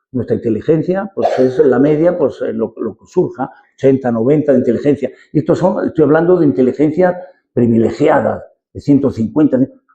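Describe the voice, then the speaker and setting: A man's fairly high, somewhat breathy voice with a dark, mellow tone, a fairly quick pace, big swings in loudness and ordinary pitch variation. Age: 70s. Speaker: lecturer, retired engineer. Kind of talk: lecture. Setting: parish hall talk with audience. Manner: halting, many repetitions.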